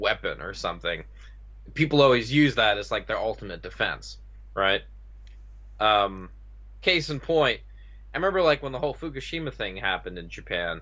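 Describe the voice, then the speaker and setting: A man with an American accent at a moderate pace, with long, frequent pauses. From United States. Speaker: podcaster. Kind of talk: casual chat. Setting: online call.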